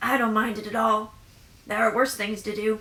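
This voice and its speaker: A woman puts on a raspy character voice, quiet and fairly high-pitched. She speaks at a moderate pace with monotone, flat intonation. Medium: read story. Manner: terse, quiet.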